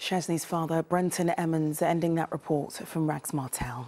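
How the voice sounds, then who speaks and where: With a London accent, a woman speaks at a moderate pace in a warm tone and a fairly low pitch. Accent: southern English (London). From England, London area. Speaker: TV news presenter. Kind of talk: regional evening TV news bulletin reading. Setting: TV studio. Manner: crisp, measured newsreader delivery; brisk, warm sign-off to camera. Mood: serious, measured. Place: studio. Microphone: lapel.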